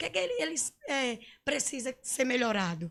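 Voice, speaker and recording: Against a very clean recording with a silent background, a woman talks fairly quickly at a high pitch. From Pernambuco, Brazil (rural area of Cabo de Santo Agostinho). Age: 40s. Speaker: political candidate. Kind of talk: interview.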